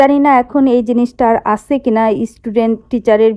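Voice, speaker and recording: The speaker is a woman with a high pitch. The background is quiet. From Bangladesh, Khulna; Bangladesh. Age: 50s. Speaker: vlogger; vlogger revisiting her old school. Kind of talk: vlog narration. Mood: nostalgic, warm. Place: open country. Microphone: phone near.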